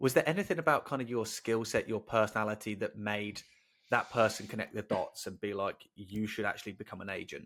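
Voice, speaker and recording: A man with an English accent speaks at a fairly quick pace in a fairly low pitch with ordinary pitch variation, on a very clean recording with a silent background. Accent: English, non-regional. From England, Northampton. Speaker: podcast host. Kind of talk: interview.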